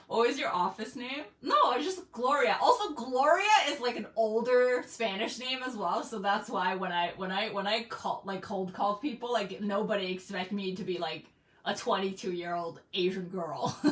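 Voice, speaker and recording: Through noticeable background noise, a woman talks at a moderate pace in a fairly high voice with lively intonation. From China. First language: Mandarin. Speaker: streamer. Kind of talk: casual chat. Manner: firm.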